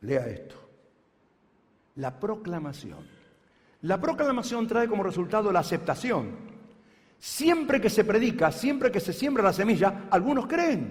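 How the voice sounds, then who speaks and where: With audible room echo, a man speaks high and at a fairly slow pace, with very wide pitch swings and long, frequent pauses. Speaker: pastor. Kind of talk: sermon.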